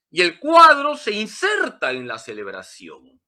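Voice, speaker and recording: A man's bright, sharp tone swings very widely in pitch. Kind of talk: catechism lecture. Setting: church sanctuary.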